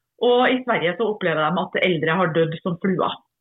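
A woman at a fairly slow pace. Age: 50s. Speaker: politician, podcast co-host. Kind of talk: casual chat. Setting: remote recording from her farm.

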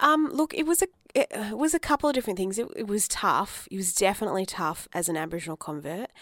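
With an Australian accent, a woman with a fairly high pitch talks at a very fast pace with very wide pitch swings, on a very clean recording with a silent background and a dry, close sound with no echo. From Australia, Adelaide. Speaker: writer and arts producer. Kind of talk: interview. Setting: studio.

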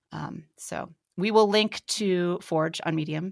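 The recording is very clean, with a silent background. A woman speaks at a fairly low pitch with vocal fry and fairly even intonation. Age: 30s. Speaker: podcast host and writer. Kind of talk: casual chat.

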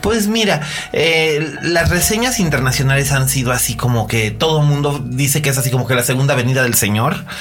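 With music in the background and audible room echo, a man with a fairly high pitch talks at a fairly quick pace with lively intonation and very even loudness. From Mexico, Monterrey. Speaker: film critic podcast host. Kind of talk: casual chat.

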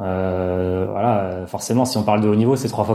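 A man speaks in a dark, mellow tone at a moderate pace with fairly even intonation. The recording is very clean, the background silent. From rural France. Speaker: sports scientist. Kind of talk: interview.

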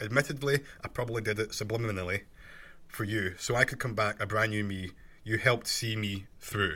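Fairly low in pitch, a man talks at a fairly quick pace with a bright, sharp tone and fairly even intonation. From Scotland. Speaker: podcast host. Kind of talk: solo podcast monologue, casual and self-help. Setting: home recording, bedroom under a duvet. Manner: conversational, earnest, motivational.

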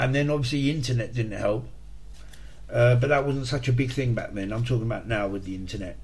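Very fast, somewhat breathy speech with audible room echo. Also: man, medium pitch for a man, ordinary pitch variation. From England, Hertfordshire (St Albans). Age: 40s. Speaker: podcast host recounting addiction recovery. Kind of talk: personal testimony monologue. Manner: hesitant, with frequent fillers and repetitions.

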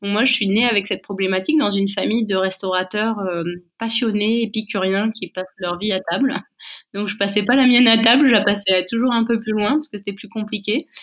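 Fairly quick, fairly evenly intoned speech from a woman with a medium-pitched voice. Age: 40s. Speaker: chef and business owner. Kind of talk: interview. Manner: halting.

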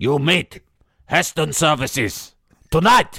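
A man does a put-on character voice with a fairly high pitch and lively intonation. His fairly slow delivery has a dry, close sound with no echo. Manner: menacing, ominous.

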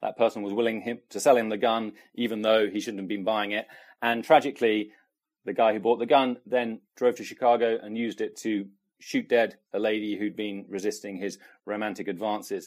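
At a fairly quick pace, a man speaks with fairly low pitch and fairly even intonation. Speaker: policy correspondent. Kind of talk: interview.

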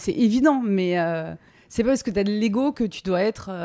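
The recording is very clean, with a silent background. A woman speaks at medium pitch and a moderate pace, her tone dark and mellow with ordinary pitch variation. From France, Drôme. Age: 30s. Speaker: sports TV journalist. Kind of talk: interview. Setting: at her home. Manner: hesitant, many fillers.

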